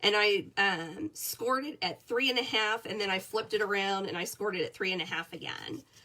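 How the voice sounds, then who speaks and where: Her medium-pitched voice has a bright, sharp tone and lively intonation. The woman keeps a moderate pace. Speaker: paper crafting demonstrator. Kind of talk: tutorial. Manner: casual, chatty.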